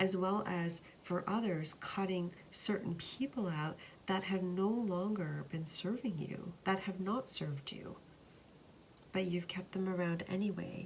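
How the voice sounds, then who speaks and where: A woman with an unremarkable speaking voice, fairly slow pace and fairly even intonation. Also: medium pitch for a woman. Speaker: tarot card reader. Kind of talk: tarot reading to camera.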